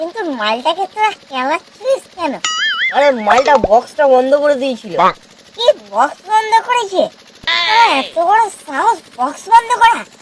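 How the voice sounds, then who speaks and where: This is a cartoonish character voice at an extremely high pitch. Its pitch swings very widely. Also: moderate pace. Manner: stammering, rowdy.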